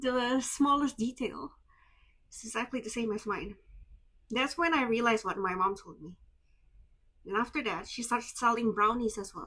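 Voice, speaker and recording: With an Indonesian accent, a woman with a fairly high, bright and sharp voice speaks at a moderate pace, her pitch varying in an ordinary way, her loudness swinging widely, and her speech broken by long, frequent pauses. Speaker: vlogger. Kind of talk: personal storytelling vlog. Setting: handheld camera vlog. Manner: emotional, animated.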